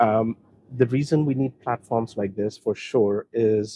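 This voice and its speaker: A man's dark, mellow tone carries fairly even intonation in a dry, close recording with no echo. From India. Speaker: technology executive. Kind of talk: interview. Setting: event venue.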